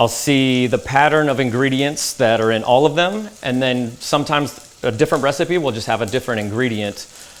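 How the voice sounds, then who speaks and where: A man with a Texan accent, medium pitch and ordinary pitch variation, against noticeable background noise. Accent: Texan American. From Dallas, Texas. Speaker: chef. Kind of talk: interview answer.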